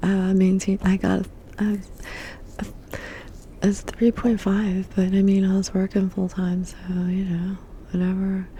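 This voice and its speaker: This voice is soft-spoken. It moves at a rather unhurried pace. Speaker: ASMR artist. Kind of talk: ASMR soft-spoken ramble.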